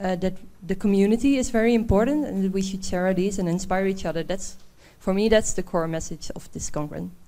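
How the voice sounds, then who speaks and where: At a very fast pace, a woman speaks at a medium pitch with a dark, mellow tone and ordinary pitch variation, with audible room echo. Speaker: public auditor, conference participant. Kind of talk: panel discussion. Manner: hesitant, some fillers.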